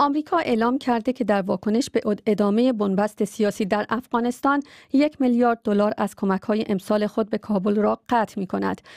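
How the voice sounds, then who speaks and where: Against a quiet background, a woman speaks fairly quickly with very even loudness and ordinary pitch variation in a dry sound with no echo. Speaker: radio newsreader. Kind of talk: news reading. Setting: studio. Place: studio.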